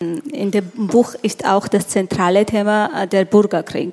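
Over noticeable background noise, a woman with a medium pitch speaks at a very slow pace with fairly even intonation. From Georgia. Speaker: event moderator, journalist. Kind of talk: onstage interview. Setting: stage with audience. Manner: halting.

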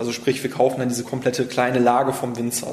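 A man speaks at a medium pitch. The recording has audible room echo and noticeable background noise. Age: 30s. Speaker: wine merchant. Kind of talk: interview.

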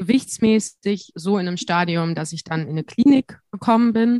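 A woman talks at a moderate pace with ordinary pitch variation. It is an unremarkable speaking voice. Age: 20s. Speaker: student teacher and podcaster. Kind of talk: interview.

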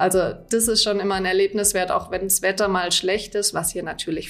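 Over noticeable background noise, a woman with a slight Swabian accent speaks at a moderate pace and medium pitch, with hardly any pauses and a monotone, flat intonation. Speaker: deputy tourism director. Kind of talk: interview. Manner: hesitant with fillers.

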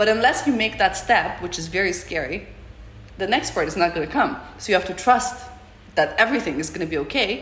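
A woman at a medium pitch with lively intonation and a fairly quick pace, set against noticeable background noise. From Russia, Moscow. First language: Russian. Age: 30s. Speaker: artist and photographer. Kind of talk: interview.

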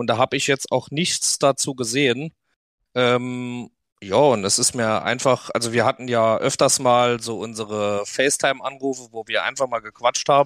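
On a very clean recording with a silent background, a man with an ordinary speaking voice talks at a moderate pace and medium pitch, his intonation fairly even. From Saarland, Germany. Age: 20s. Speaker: podcast host, quad rider. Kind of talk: casual chat.

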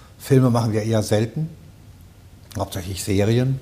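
A man speaks at a moderate pace with fairly even intonation and a fairly low pitch. His tone is dark and mellow, and somewhat breathy. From Palatinate, Germany. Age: 60s. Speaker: dubbing studio owner. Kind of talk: casual chat. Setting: studio.

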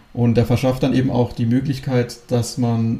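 At a moderate pace, a man with a medium pitch speaks in a somewhat breathy, dark, mellow tone with monotone, flat intonation. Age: 20s. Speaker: real estate company director. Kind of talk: interview.

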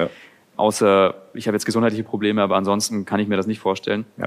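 Talking very fast, a man keeps to a fairly low register. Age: 20s. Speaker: YouTuber. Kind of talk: casual chat.

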